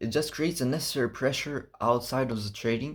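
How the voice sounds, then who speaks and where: In a non-native accent, the speaker comes through on a very clean recording with a silent background. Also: man. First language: not English. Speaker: fitness vlogger. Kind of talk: casual vlog monologue. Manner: halting, searching for words.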